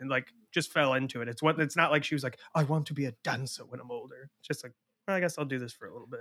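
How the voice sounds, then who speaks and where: Bright and sharp in tone, a man speaks very fast at a fairly high pitch, with fairly even intonation and big swings in loudness. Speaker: podcast host. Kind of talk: casual chat. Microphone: new microphone.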